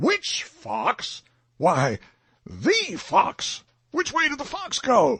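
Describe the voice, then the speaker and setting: Using a put-on character voice at an extremely high pitch, a man speaks at a very slow pace. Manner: angry, thundering.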